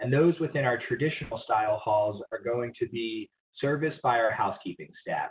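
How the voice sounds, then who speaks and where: A man with an American accent speaks at a moderate pace with ordinary pitch variation over light background noise. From southern New Jersey. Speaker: university housing staff. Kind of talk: informational presentation. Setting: video call. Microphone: video call.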